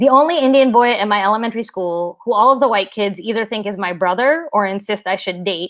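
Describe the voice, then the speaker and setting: A woman in a normal speaking voice talks fairly quickly at a medium pitch, her pitch varying in an ordinary way. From southern West Virginia. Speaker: writer and middle school teacher. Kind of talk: reading aloud. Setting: live stream.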